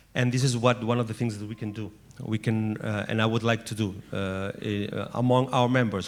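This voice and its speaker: A man of medium pitch speaks with fairly even intonation. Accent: Catalan. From Catalonia. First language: Catalan. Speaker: former mayor, network representative. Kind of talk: panel speech. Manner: halting.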